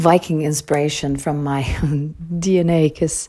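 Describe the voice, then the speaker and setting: Very deep and low in pitch, this woman's voice has a dark, mellow tone and a flat, monotone delivery with a Danish accent. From Denmark, Copenhagen area. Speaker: voice actress. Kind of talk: interview answers. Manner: halting, many repetitions.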